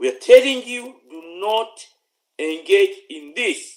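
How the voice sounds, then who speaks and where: This man speaks with a Ugandan accent. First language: Luganda. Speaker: political commentator. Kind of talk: political address. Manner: stammering; repetitive halting.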